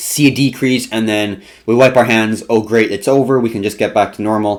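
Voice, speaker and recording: An animated man's voice at medium pitch and a fairly quick pace. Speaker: crypto and market trading streamer. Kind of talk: live stream market commentary.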